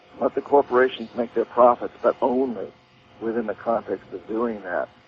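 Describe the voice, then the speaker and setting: At a moderate pace, a man speaks with fairly even intonation. Noticeable background noise can be heard. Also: medium pitch for a man. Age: 60s. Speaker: author and activist. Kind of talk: interview. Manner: hesitant, repeats words.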